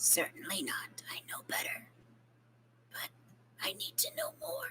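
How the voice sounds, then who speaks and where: A woman whispers in a put-on character voice. Her pace is fairly slow. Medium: actual play. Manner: measured, formal, introspective.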